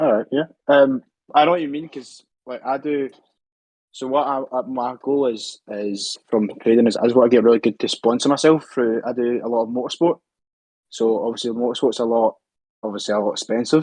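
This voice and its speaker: A man speaks with a Scottish accent at a medium pitch. His pace is fairly quick. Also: ordinary pitch variation. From Scotland. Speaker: trading student and racing driver. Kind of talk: interview. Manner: fast.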